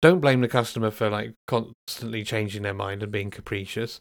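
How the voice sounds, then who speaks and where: A man with a British accent and a medium pitch. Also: very clean recording, silent background. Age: 40s. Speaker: podcast host, software engineer. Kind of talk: solo podcast monologue. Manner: hesitant, many fillers.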